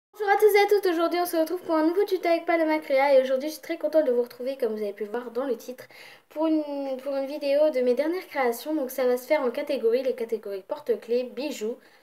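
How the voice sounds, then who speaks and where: A woman's high voice, dark and mellow in tone, with lively intonation at a very fast pace. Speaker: craft video creator. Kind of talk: craft showcase video.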